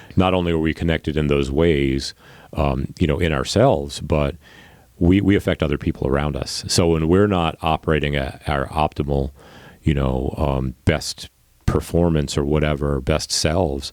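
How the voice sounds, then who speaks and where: A man with an American accent speaks at a moderate pace in a very deep, low voice. His intonation stays fairly even. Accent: New York accent, hidden. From Long Island, New York. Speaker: podcast host. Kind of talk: podcast interview.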